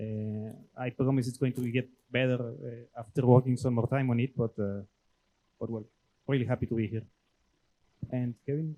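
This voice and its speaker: Speaking with a Mexican accent in a medium pitch, a man has a dark, mellow tone and monotone, flat intonation, keeps a moderate pace with long, frequent pauses, and sounds dry and close with no echo. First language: Spanish. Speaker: brewing industry professional. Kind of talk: presentation. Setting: club meeting with audience. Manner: hesitant, many fillers.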